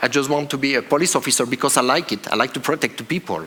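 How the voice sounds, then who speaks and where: Noticeable background noise sits behind a man's voice. He speaks with a fairly high pitch and a French accent. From France. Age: 40s. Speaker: police officer. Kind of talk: conference talk. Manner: halting.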